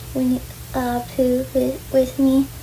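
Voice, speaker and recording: Very slowly, a woman talks while noticeable background noise runs behind her. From New York, Long Island. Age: 20s. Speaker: vlogger. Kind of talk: casual vlog monologue. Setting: bedroom at home. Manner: halting; soft-spoken. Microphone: far from the camera.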